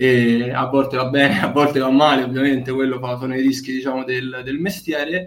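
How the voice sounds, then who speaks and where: A man talks at a fairly quick pace. His pitch is medium, in a normal speaking voice. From Bracciano, near Rome, Italy. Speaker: basketball team manager. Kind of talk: interview.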